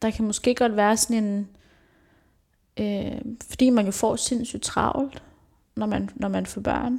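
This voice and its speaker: At a very slow pace, this voice carries a dark, mellow tone that is somewhat breathy, with fairly even intonation. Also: woman. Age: 20s. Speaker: social educator. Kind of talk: casual chat.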